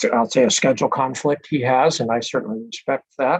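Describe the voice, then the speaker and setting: This man has a normal speaking voice at a medium pitch. His intonation is fairly even. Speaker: presiding hearing officer. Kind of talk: formal hearing proceedings. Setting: video call. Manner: formal, with frequent fillers.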